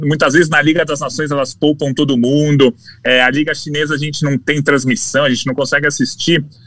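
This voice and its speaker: A man speaks in an unremarkable speaking voice, fairly high in pitch. His pace is fairly quick. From Brazil. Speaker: sports journalist. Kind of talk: casual chat. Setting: studio.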